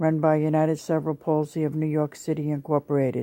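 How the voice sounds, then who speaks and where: A woman speaks at a very deep, low pitch with a dark, mellow tone and monotone, flat intonation. Her pace is moderate, and the recording is very clean with a silent background. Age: 70s. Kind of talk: testimony. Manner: formal.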